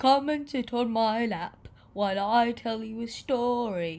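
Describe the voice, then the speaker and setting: In a put-on character voice, a female-sounding voice speaks at a fairly high pitch and a fairly slow pace. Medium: read story. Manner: warm, playful.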